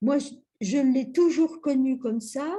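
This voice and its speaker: A woman's high-pitched voice, dark and mellow in tone, at a fairly slow pace with ordinary pitch variation. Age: 70s. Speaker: workshop participant. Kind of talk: casual group chat.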